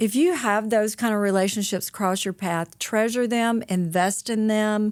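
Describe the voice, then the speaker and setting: Speaking fairly slowly in a Southern accent, the voice keeps a very even loudness and ordinary pitch variation. The recording is very clean, with a silent background. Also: woman, fairly high pitch for a woman. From US South, rural North Mississippi. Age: 60s. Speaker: author and motivational speaker. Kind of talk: podcast interview. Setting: studio. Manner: animated.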